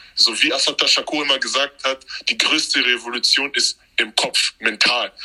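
A man's voice, dry and close with no echo, with music in the background. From Cameroon. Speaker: history content creator. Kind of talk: casual chat.

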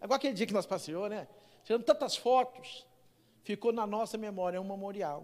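At a fairly quick pace, a man talks in a high-pitched voice with ordinary pitch variation. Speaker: pastor. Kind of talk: sermon. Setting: church.

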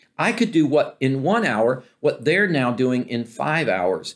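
His pitch swinging very widely, a man talks at a fairly slow pace. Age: 60s. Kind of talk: Bible teaching talk. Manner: halting, with frequent fillers.

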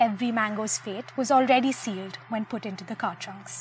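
Music plays in the background as a woman talks at a fairly quick pace. Her pitch is fairly high, with ordinary variation. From Bangalore, India. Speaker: storyteller. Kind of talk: reading aloud.

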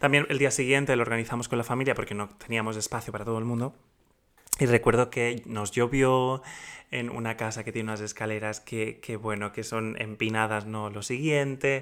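At a fairly quick pace, a man with a medium pitch speaks in a monotone, flat way, in a very clean recording with a silent background. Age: 30s. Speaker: podcast host. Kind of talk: casual chat; reading aloud.

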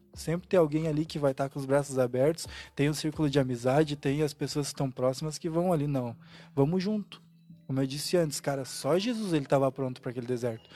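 A man's dark, mellow voice, fairly high in pitch, at a very fast pace with ordinary pitch variation, in a very clean recording with a silent background. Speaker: church member panelist. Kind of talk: casual church panel discussion.

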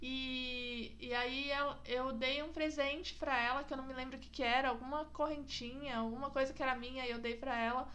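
A woman's high-pitched voice with a bright, sharp tone, monotone, flat intonation and a moderate pace, plus audible room echo. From São Roque, interior of São Paulo state, Brazil. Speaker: podcast host. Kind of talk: casual chat. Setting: in-person recording at home.

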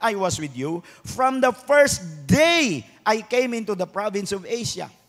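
A man speaks at a fairly slow pace, his voice high for a man and swinging very widely in pitch. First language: Cebuano (speaking Tagalog). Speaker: pastor. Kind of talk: sermon. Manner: animated.

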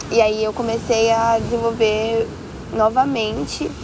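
There is noticeable background noise around this woman's voice. She talks at a very slow pace with a fairly high pitch. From Brazil, São Paulo. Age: 20s. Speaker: entrepreneur. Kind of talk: casual chat. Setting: outdoors on a beach.

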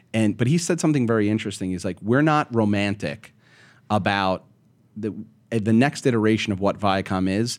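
A man speaks fairly quickly in an ordinary speaking voice, his pitch varying in an ordinary way. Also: fairly low pitch for a man, very clean recording, silent background. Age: 40s. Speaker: media company CEO. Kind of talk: interview.

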